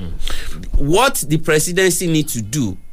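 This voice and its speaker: Against music in the background, a man speaks fairly slowly in a high pitch. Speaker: newspaper review analyst. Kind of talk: radio discussion.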